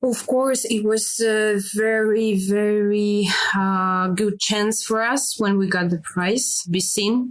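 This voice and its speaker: A very slow, nearly pause-free delivery in a Russian accent, with very even loudness and fairly even intonation. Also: woman, fairly high pitch for a woman. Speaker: filmmaker. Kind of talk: interview. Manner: halting, many fillers.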